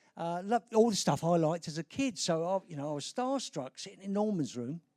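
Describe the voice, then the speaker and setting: A man talks with lively intonation and a dark, mellow tone at a high pitch. The sound is dry and close, with no echo. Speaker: advertising creative director. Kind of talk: live conference talk. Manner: casual, humorous.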